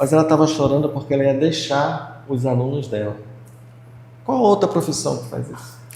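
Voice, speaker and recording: Audible room echo surrounds a man speaking at a moderate pace with a fairly high pitch, ordinary pitch variation and big swings in loudness. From Brazil, Pará (Belém). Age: 60s. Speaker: retired physical education teacher. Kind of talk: interview.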